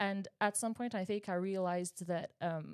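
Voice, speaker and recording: A woman with a Quebec accent speaks at medium pitch in monotone, flat intonation, on a very clean recording with a silent background and a dry, close sound with no echo. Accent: Québécois French accent in English. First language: French. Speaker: high school English teacher. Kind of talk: interview. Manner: halting, with many repetitions.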